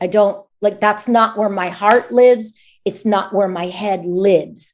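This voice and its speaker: A woman with an American accent and an unremarkable speaking voice talks at a fairly slow pace, her medium pitch held in fairly even intonation. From United States. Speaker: voice actor. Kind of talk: interview answer.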